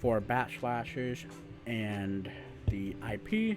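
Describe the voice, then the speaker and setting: A man talks with music in the background. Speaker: penetration tester. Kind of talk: screen-recorded hacking tutorial.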